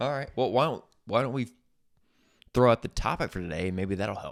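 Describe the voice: With lively intonation and vocal fry, a man speaks at medium pitch and a fairly quick pace on a very clean recording with a silent background.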